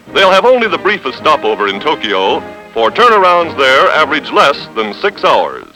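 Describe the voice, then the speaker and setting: With music in the background, a man keeps to a moderate pace. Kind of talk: newsreel narration.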